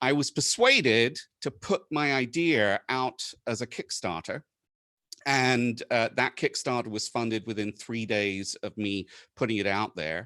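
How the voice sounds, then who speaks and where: With an American accent, a man speaks in a medium pitch and a bright, sharp tone, the sound dry and close with no echo over a quiet background. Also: ordinary pitch variation, fairly slow pace. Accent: British with an American twang. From UK. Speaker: conference presenter, maker of a space station tracker. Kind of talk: conference talk. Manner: halting, many fillers.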